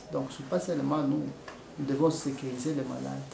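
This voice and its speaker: Noticeable background noise is present. Audible room echo can be heard as well. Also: man. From DR Congo. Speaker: nurse. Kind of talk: interview testimony. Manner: hesitant, with many fillers.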